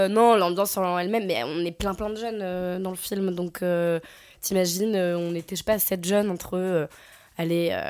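A normal speaking voice: a woman at medium pitch with fairly even intonation, on a very clean recording with a silent background. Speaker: actress. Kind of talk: casual interview.

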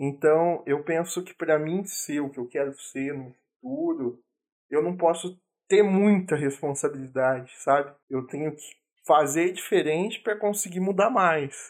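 A man speaks at a fairly slow pace in a high pitch. His pitch varies in an ordinary way, while his loudness swings a lot. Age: 20s. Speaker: podcast co-host. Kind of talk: casual chat.

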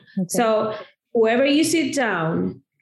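Heard with audible room echo, a woman speaks fairly slowly at a fairly high pitch. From Argentina. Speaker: marketing consultant. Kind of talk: interview.

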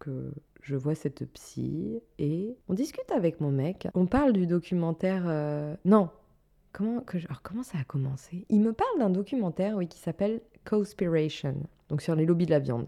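With a normal speaking voice, a woman talks at a moderate pace, her fairly low pitch carrying lively intonation. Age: 30s. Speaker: wellness podcaster and former fitness instructor. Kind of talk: solo podcast monologue. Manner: casual, conversational with filler words.

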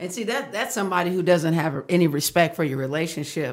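In an American accent, a woman with an unremarkable speaking voice talks at a fairly quick pace, fairly low in pitch, with ordinary pitch variation. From Texas, Fort Worth. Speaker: marriage counselor. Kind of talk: casual interview.

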